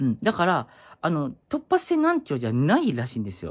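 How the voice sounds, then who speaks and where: Fairly quick speech comes through with a quiet background. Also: man. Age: 30s. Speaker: YouTuber; vlogger. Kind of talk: casual vlog monologue. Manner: halting, many fillers. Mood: concerned but chatty. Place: home room. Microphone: phone near.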